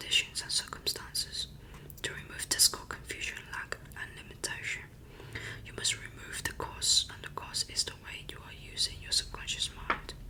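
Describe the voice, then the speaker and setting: Whispered words come at a moderate pace, with noticeable background noise behind them. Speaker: ASMR creator. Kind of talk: ASMR book reading.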